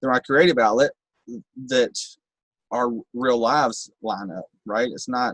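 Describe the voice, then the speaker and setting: A man with a Kentucky accent speaks at a medium pitch and a moderate pace, with ordinary pitch variation and a dry, close sound with no echo. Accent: rural Kentucky twang, noticeable. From Kentucky, Bowling Green. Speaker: rapper in recovery. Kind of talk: podcast interview.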